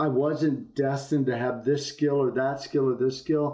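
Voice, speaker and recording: A man talks at a fairly slow pace in a plain, everyday voice. His pitch sits fairly high. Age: 60s. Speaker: business executive. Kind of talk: interview.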